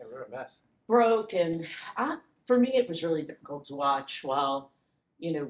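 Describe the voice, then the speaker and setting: A woman with a fairly low pitch speaks at a moderate pace, with audible room echo around her. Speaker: podcast guest. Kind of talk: interview answer. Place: hall.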